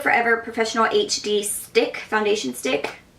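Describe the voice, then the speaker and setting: A woman speaks over noticeable background noise. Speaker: makeup artist. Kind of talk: tutorial. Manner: fast; casual, filler-heavy.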